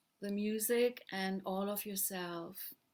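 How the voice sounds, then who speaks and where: Soft-spoken and gentle in tone, a woman talks at a very slow pace with a medium pitch and fairly even intonation. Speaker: mindfulness teacher and pianist. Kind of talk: guided meditation. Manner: gentle, slow.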